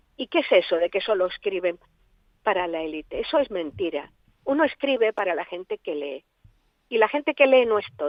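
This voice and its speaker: A woman speaks at a moderate pace and medium pitch, her pitch swinging very widely. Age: 80s+. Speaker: writer. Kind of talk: interview. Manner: animated.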